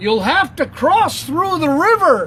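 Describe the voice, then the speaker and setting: In a put-on character voice that is raised and projected, the speaker talks fairly slowly at a high pitch with very wide pitch swings over clear background noise. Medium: read story.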